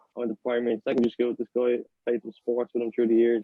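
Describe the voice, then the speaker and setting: A man with an Irish accent speaks at medium pitch. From Ireland. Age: 20s. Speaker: podcast co-host. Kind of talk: casual chat.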